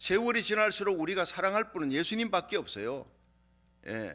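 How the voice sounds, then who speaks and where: A man's raised, projected voice, high-pitched, bright and sharp, with lively intonation. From Korea, Gyeongsang region. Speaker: pastor. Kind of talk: sermon.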